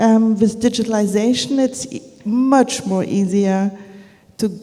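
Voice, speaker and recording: The pace is very slow, and the pitch varies in an ordinary way. Audible room echo is present. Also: woman. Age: 60s. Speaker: media conference founder. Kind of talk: on-stage interview. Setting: stage with audience.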